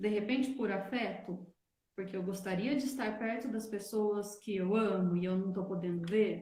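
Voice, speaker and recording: A woman's medium-pitched voice, dark and mellow and somewhat breathy, with ordinary pitch variation, a fairly slow pace and audible room echo. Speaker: wellness teacher. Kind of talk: online live talk. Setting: livestream.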